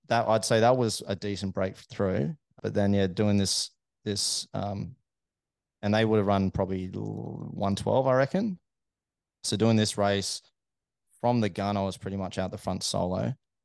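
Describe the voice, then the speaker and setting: In an Australian accent, a man speaks at a moderate pace with a fairly low pitch and fairly even intonation, leaving long, frequent pauses. The sound is dry and close, with no echo and a quiet background. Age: 30s. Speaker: amateur runner, aerospace engineer. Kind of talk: casual interview chat. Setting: studio.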